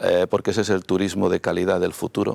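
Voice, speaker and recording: A man speaks with a Madrid accent. The sound is dry and close with no echo, on a very clean recording with a silent background. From Madrid, Spain. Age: 60s. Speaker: mayoral candidate, politician. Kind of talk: TV interview. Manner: halting, frequent fillers and repetitions.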